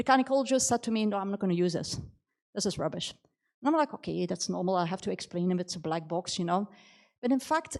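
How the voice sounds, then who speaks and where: A woman talks at a very fast pace. Her intonation is lively. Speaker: AI expert and author, keynote speaker. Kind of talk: keynote talk. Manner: halting, with fillers and restarts.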